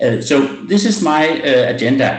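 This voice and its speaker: Over audible room echo, a man talks fairly slowly and somewhat breathily. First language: not English. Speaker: medical doctor presenting a webinar. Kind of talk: webinar presentation. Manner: halting, many fillers.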